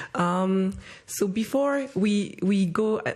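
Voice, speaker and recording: A woman's medium-pitched voice comes across somewhat breathy. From Rwanda. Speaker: youth leader, social entrepreneur. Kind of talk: panel discussion.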